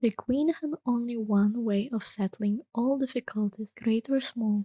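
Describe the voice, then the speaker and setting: A soft-spoken, whispering woman with a gentle tone at a moderate pace, in a dry, close sound with no echo. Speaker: VTuber and ASMR reader. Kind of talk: soft-spoken ASMR bedtime story reading. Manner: soft-spoken, gentle, whispery.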